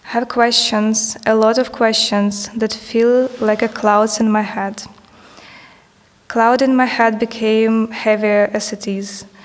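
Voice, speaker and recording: Very slowly and in monotone, flat intonation, a woman with a non-native accent speaks at a fairly high pitch over noticeable background noise. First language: not English. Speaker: artist. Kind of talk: reading aloud. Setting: stage with audience.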